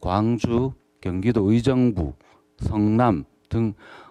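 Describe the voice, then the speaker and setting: A man's fairly low voice with a Gyeongsang accent. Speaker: social welfare counseling center director. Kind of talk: panel discussion talk. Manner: halting, many fillers.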